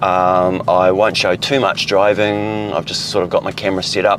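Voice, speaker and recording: In a New Zealand accent, a man speaks in a very deep, low monotone over noticeable background noise. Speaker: car vlogger. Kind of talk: casual vlog narration while driving. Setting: in a car. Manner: loud.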